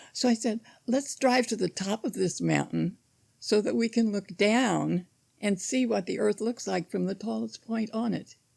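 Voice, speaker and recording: A woman with an American accent speaks at a medium pitch and a moderate pace. Her voice shows vocal fry and ordinary pitch variation. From US Midwest (southern Illinois). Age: 80s+. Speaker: church member. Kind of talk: casual interview.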